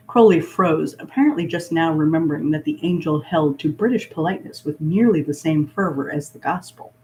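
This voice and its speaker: Speech runs on with hardly any pauses over noticeable background noise. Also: fairly quick pace. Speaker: fan fiction reader. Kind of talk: fan fiction read aloud. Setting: laptop livestream.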